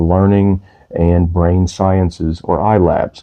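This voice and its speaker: Quiet and monotone, a man speaks with flat intonation at a very deep, low pitch. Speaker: music channel host, parent. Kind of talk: informal explainer monologue. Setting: at home downstairs. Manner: quiet, low energy.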